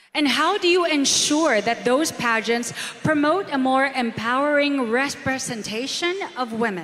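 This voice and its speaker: With a Filipino accent, a woman speaks at a fairly slow pace in a high voice, her intonation lively and her loudness very even, over noticeable background noise. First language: Tagalog. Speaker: event host. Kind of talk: pageant hosting on stage. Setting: PA system.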